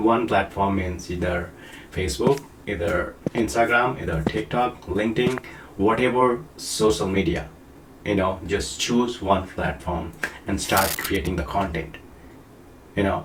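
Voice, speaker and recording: At a fairly slow pace, a man with a non-native accent and a fairly low pitch speaks with ordinary pitch variation. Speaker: online marketing coach. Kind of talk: casual tutorial to camera. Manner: halting, many fillers.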